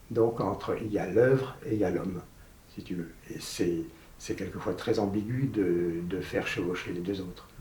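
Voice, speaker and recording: Through audible room echo, a man with a fairly low pitch talks at a moderate pace in a dark, mellow, somewhat breathy tone with lively intonation. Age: 80s+. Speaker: painter. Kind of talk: interview. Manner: halting.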